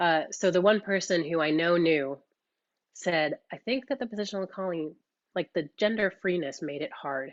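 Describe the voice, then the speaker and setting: A woman with an American accent, fairly low in pitch, at a moderate pace with lively intonation. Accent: sounds American. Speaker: dance caller and workshop teacher. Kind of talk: online workshop discussion. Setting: video call. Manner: casual, many fillers.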